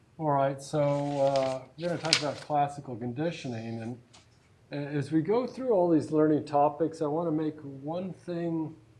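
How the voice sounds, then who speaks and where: Fairly high male voice, moderate in pace, with ordinary pitch variation and audible echo from the room. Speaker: psychology lecturer. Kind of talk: lecture. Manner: projecting voice loudly.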